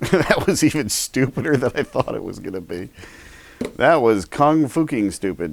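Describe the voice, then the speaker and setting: A man's medium-pitched voice with vocal fry, very wide pitch swings and long, frequent pauses. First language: not English. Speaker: product reviewer. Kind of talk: casual unboxing review. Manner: joking.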